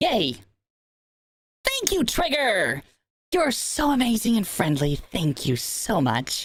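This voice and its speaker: A man puts on a character voice pitched high, with very wide pitch swings and very even loudness. He goes at a fairly slow pace, leaving long, frequent pauses. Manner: bubbly, enthusiastic.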